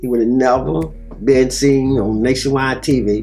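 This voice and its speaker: Music plays in the background as a man talks at a moderate pace, with medium pitch and ordinary pitch variation. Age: 60s. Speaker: family man interviewed about life. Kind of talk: interview answer.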